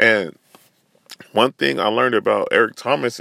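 A man with an American accent, bright and sharp in tone, on a very clean recording with a silent background and a dry, close sound with no echo. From Northern California. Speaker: podcast host. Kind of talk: solo rant. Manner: casual, filler-heavy with repetitions.

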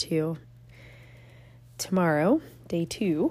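A woman speaks with a fairly low pitch and ordinary pitch variation. Her tone is dark and mellow.

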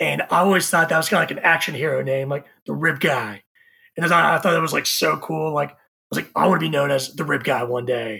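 Talking at a very fast pace, a man with a Texan accent has a fairly high, bright, sharp voice with vocal fry, an animated tone and ordinary pitch variation. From Texas, Houston area (Katy). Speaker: barbecue content creator. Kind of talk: casual chat.

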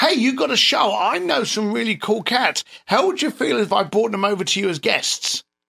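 On a very clean recording with a silent background, a man uses a raised, projected voice that is high-pitched with a bright, sharp tone. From East London, England. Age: 50s. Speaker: entrepreneur and author. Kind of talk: casual interview chat.

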